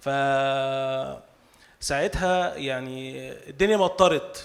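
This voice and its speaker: The voice has ordinary pitch variation, with noticeable background noise. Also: man. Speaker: novelist. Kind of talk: speech at cultural salon. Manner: halting.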